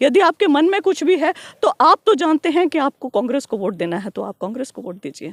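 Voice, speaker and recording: A woman's high voice swings very widely in pitch, recorded dry and close with no echo. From Haryana, Kaithal district (Pai village). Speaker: politician. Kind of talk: interview.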